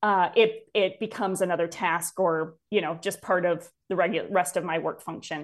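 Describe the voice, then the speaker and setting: A woman with an American accent speaks in a plain, everyday voice at medium pitch and a fairly slow pace over a quiet background. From north central Wisconsin. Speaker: leadership consultant and company founder. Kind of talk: casual interview.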